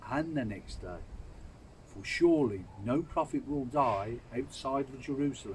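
Over light background noise, a man talks at a fairly slow pace. His fairly high voice is somewhat breathy and swings very widely in pitch. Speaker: Bible reader. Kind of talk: scripture reading aloud. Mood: calm, solemn. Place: garden. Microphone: phone near.

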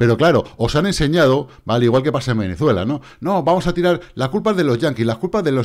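In a very clean recording with a silent background, a man talks at a moderate pace with vocal fry and an animated tone. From Spain. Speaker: crypto trading youtuber. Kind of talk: casual monologue with chart analysis.

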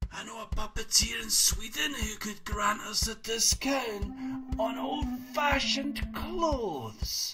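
Clear music plays behind a cartoonish character voice at a fairly high pitch and fairly slow pace. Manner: excited, rambling.

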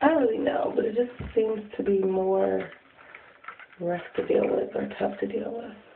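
A woman talks fairly slowly, her voice carrying audible room echo over noticeable background noise. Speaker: beauty vlogger. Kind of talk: tutorial. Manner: casual, chatty.

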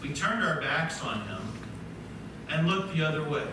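A man's voice with ordinary pitch variation, strong room echo and noticeable background noise. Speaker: preacher. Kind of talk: sermon. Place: church.

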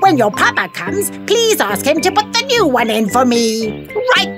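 Over clear music in the background, a woman performs a cartoonish character voice. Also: moderate pace. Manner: warm, motherly, mildly scolding.

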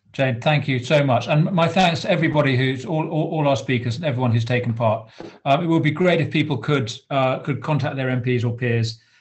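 Against a quiet background, a man with a British accent talks at a fairly quick pace with hardly any pauses and ordinary pitch variation. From England. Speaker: member of parliament, meeting chair. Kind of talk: formal meeting chairing. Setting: video call. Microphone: video call.

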